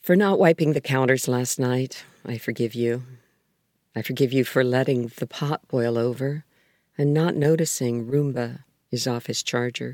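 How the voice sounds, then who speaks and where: A woman's very deep, low voice, calm and gentle in tone, at a moderate pace with ordinary pitch variation, on a very clean recording against a silent background. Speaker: poet and writer. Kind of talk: poem reading, calm and reflective, mindfulness style. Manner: calm, measured, gentle, reflective.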